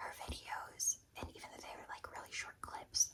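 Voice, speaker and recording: Whispering at a moderate pace, a woman speaks over noticeable background noise. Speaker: ASMR content creator. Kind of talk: ASMR whispered Q&A while doing makeup. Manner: whispered.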